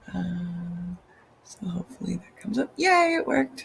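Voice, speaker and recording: A woman speaks with music in the background. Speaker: digital artist. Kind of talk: casual talk with screen share. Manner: hesitant, many fillers.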